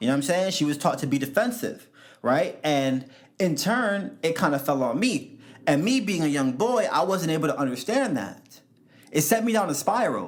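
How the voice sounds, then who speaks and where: Speaking with a New York accent, a man uses a high pitch with very wide pitch swings at a moderate pace. His loudness stays very even, and audible room echo surrounds the voice. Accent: New York City English. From US Northeast, New York City (South Bronx). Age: 20s. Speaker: podcast host. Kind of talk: solo podcast monologue. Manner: animated.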